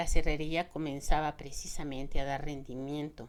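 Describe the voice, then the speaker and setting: Her pitch varies in an ordinary way as the woman keeps a moderate pace. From Mexico. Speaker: audiobook narrator. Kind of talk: audiobook novel reading.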